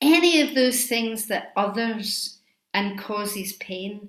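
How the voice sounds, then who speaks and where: A woman with a Scottish accent, speaking at a very slow pace. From Scotland. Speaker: Buddhist teacher. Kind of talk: dharma talk.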